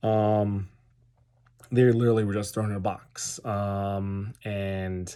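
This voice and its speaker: In a very clean recording with a silent background, a man with an American accent talks very slowly in a fairly low, dark, mellow voice with monotone, flat intonation. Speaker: tabletop wargaming YouTuber. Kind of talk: casual product review. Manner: hesitant, many fillers.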